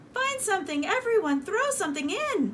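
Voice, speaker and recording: In a put-on character voice, a woman squeaks at an extremely high pitch with very wide pitch swings and a moderate pace, over clear background noise. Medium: read story.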